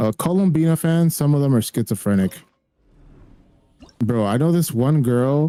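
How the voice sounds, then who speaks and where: Music plays behind a man who talks at a fairly slow pace, his medium-pitched voice carrying lively intonation. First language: Spanish. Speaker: gaming streamer. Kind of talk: casual chat. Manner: animated.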